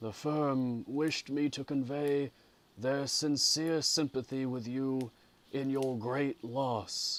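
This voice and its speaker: Quiet put-on character voice from a man, medium in pitch, monotone and flat, at a very slow pace. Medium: read story. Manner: low, quiet, formal.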